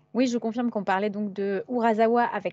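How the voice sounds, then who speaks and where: Pitched high, a woman talks with fairly even intonation. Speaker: publisher's press officer hosting a live stream. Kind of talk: casual live stream chat. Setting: live stream with chat.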